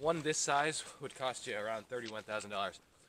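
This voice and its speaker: A man talks at a fairly quick pace over noticeable background noise, the sound dry with no echo. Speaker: tractor owner vlogger. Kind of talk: casual vlog chat. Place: garden. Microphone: phone near.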